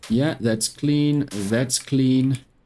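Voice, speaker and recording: Very slow in pace, a woman speaks with a South African accent. Her pitch is very deep and low. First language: Afrikaans. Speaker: gaming YouTuber. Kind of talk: let's play gameplay commentary.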